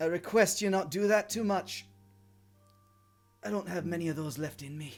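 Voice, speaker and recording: Music plays behind a man doing a put-on character voice, high-pitched and strained, at a moderate pace. His pitch varies in an ordinary way, while his loudness swings widely. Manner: weary, strained.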